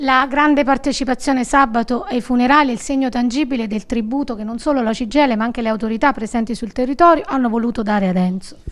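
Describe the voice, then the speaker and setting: Over noticeable background noise, the speech comes at a very fast pace with hardly any pauses. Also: woman, high pitch for a woman, ordinary pitch variation. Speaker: news anchor. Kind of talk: news reading. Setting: studio.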